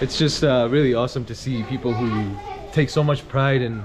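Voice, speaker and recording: In a noticeably noisy background, a man with an American accent speaks at a medium pitch with fairly even intonation. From US, New York. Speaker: travel vlogger. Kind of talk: travel vlog narration. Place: street. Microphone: phone near.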